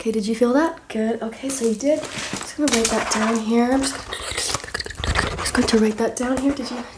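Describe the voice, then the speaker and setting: Loud background noise surrounds a speaker with an American accent and fairly even intonation. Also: woman, high pitch for a woman, fairly quick pace. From US South. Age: 20s. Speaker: ASMR creator. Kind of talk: ASMR roleplay with rapid-fire instructions, repeated phrases. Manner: soft-spoken, whispery, repetitive, fast-paced and chaotic; playful, cajoling, rapid-fire commands. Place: home room. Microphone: phone near.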